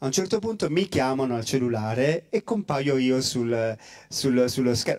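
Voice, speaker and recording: A man speaks with lively intonation at a moderate pace. The background is quiet. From Calabria, Italy. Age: 40s. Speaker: priest; priest guest speaker. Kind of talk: testimony. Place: hall. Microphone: handheld.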